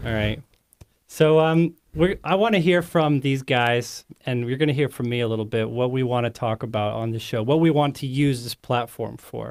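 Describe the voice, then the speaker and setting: Here is an unremarkable speaking voice at a moderate pace with ordinary pitch variation. The recording is very clean and the background silent. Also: man, medium pitch for a man. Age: young. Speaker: podcast co-host, seminary graduate. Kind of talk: casual panel chat. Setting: studio.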